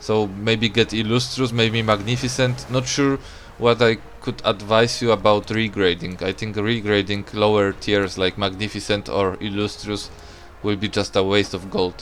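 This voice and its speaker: A man speaks with a Polish accent. His pitch is fairly low and his intonation fairly even. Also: moderate pace. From Poland. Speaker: gaming streamer. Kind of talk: casual live-stream commentary while gaming. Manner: loud; casual, hesitant with fillers.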